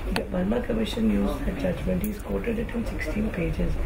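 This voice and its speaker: A man speaks over loud background noise. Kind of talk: informal explanation to a visitor. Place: office.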